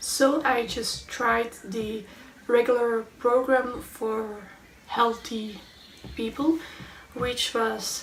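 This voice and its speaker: Very slow speech in a Belgian accent comes through noticeable background noise. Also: woman. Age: 20s. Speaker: chronic illness vlogger. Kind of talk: storytime vlog.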